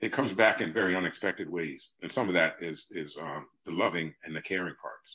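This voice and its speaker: A man talks with a New Jersey accent. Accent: New Jersey American English. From US Northeast. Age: 60s. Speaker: artist and teacher. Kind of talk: interview conversation.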